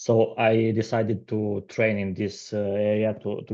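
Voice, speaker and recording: A man with a non-native accent talks at a moderate pace. His pitch is fairly low, and his intonation stays fairly even. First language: not English. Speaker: aspiring salesperson seeking coaching. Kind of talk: coaching session. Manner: halting, many fillers and repetitions.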